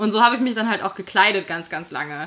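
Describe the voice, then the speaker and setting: A woman's fairly high-pitched voice carries over noticeable background noise. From Hesse, Fulda. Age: 20s. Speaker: podcast co-host, editor. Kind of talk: casual chat. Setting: on a sofa in a Berlin flat.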